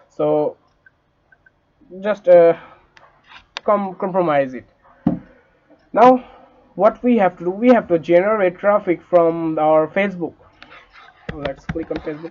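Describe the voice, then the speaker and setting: With a non-native accent, a man speaks high at a fairly slow pace, with long, frequent pauses, ordinary pitch variation and big swings in loudness. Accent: non-native English, says it is glitchy. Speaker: online money-making tutor. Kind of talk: tutorial. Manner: halting, many fillers.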